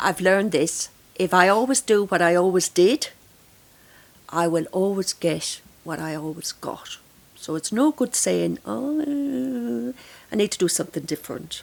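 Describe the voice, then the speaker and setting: Here a woman speaks in an Irish accent at a fairly low pitch. Her pace is fairly slow, and her pitch swings very widely. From Ireland. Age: 60s. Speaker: grief counsellor. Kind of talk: podcast interview.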